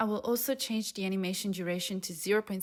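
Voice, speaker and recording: Here is a woman with a non-native accent. Her pitch sits in the medium range. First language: not English. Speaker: software developer, tutorial maker. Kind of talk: coding tutorial. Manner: casual, with frequent fillers.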